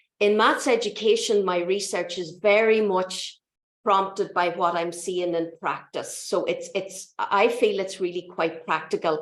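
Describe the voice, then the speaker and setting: A woman with an Irish accent speaks at a fairly slow pace and a medium pitch. Her intonation is fairly even, and audible room echo surrounds her voice. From Ireland. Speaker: mathematics lecturer and education researcher. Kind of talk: lecture.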